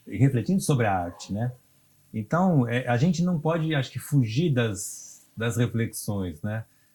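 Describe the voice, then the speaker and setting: Somewhat breathy and dark, mellow in tone, a man speaks at medium pitch and a fairly slow pace with lively intonation. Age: 60s. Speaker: cultural producer and musician. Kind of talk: interview. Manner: halting, many fillers.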